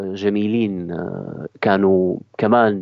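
A man speaks at a very slow pace. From Syria. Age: 30s. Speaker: theatre actor and director. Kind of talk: interview. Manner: halting.

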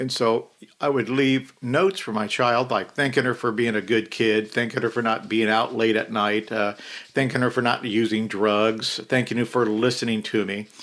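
A man with an American accent and a normal speaking voice, medium pitch, fairly even intonation and a moderate pace, in a very clean recording with a silent background. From US. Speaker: retired police officer.

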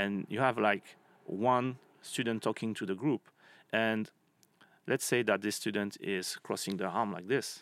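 A man with a French accent speaks at a fairly slow pace in a fairly low voice, with fairly even intonation and long, frequent pauses, on a very clean recording with a silent background. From France. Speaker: marketing professor. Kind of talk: interview. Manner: halting.

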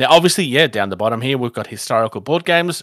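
With an Australian accent and lively intonation, a man comes through in a dry, close sound with no echo on a very clean recording with a silent background. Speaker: tabletop gaming podcast host. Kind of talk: casual chat.

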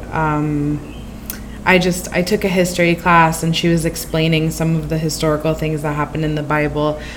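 Over noticeable background noise and audible room echo, a woman with a very deep, low pitch speaks at a moderate pace in a monotone, flat intonation. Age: 20s. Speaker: translator. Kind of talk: casual chat.

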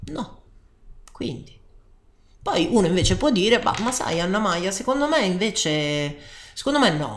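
A woman's medium-pitched voice with very wide pitch swings, at a fairly slow pace with long, frequent pauses and audible room echo. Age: 30s. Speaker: life coach. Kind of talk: personal testimony.

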